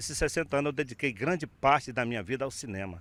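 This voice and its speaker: Lively intonation marks this man's medium-pitched voice. The recording is very clean, with a silent background. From Brazil, Acre (Rio Branco). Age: 60s. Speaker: filmmaker. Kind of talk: interview. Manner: halting.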